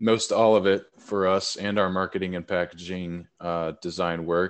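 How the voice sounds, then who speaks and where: Fairly even intonation marks this man's speech in a Southern US accent. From Tennessee, Nashville. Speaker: hemp and cannabis business co-founder. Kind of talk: casual interview. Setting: remote call.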